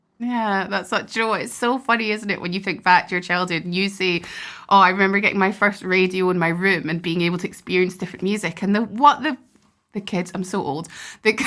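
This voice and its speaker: A woman speaks at a medium pitch and a very fast pace, with a bright, sharp tone. Her pitch varies in an ordinary way, and the recording is very clean with a silent background. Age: 30s. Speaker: podcast host, harpist. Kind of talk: podcast interview.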